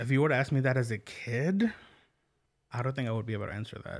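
A man with an American accent speaks in a normal speaking voice at a medium pitch with ordinary pitch variation, on a very clean recording with a silent background. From Oklahoma, US. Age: 30s. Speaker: podcast host. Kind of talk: casual interview. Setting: studio.

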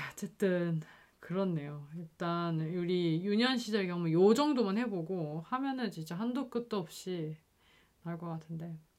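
Fairly slow and low-pitched, a woman with a plain, everyday voice speaks with lively intonation. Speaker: podcast host. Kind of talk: casual chat.

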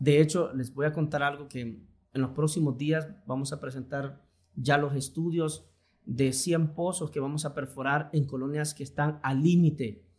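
With a Honduran accent, a man speaks at a fairly slow pace and a fairly high pitch. His intonation is fairly even and his voice somewhat breathy. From Honduras, Tegucigalpa (born in Choluteca). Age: 40s. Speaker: politician, vice-mayor candidate. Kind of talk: podcast interview. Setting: studio in a clinic.

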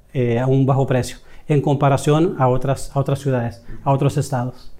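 Fairly high in pitch, a man speaks with a dark, mellow tone and fairly even intonation. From El Salvador. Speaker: direct sales manager. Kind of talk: interview. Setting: office.

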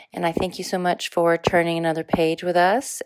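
Her voice sits fairly low for a woman. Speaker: teacher and podcast host. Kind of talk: casual interview with students. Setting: school library.

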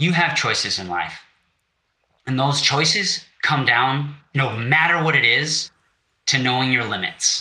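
A man with an American accent speaks at a fairly slow pace and a fairly high pitch. Long, frequent pauses break up his ordinary pitch variation. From Wisconsin. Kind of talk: interview conversation. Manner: casual, halting.

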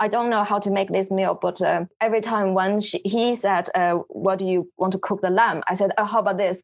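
A medium-pitched woman with a Chinese accent, fairly even intonation, very even loudness and hardly any pauses, in a very clean recording with a silent background. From China, Beijing. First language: Mandarin Chinese. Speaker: photographer. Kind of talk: interview. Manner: halting.

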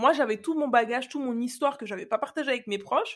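Lively and very fast, a woman speaks with a high pitch. The recording is very clean, with a silent background. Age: 30s. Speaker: podcast host, confidence coach. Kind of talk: personal storytelling monologue. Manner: casual, conversational.

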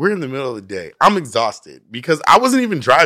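A man speaks at a fairly high pitch and fairly quick pace, his tone bright and sharp with vocal fry and very wide pitch swings. The recording is very clean, the background silent. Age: 30s. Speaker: podcast co-host. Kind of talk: casual chat.

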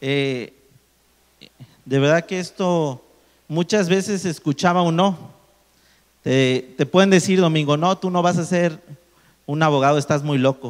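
Long, frequent pauses break up a man's fairly slow speech. His pitch is fairly high, with ordinary variation. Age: 30s. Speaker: engineer and motivational speaker. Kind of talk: testimony.

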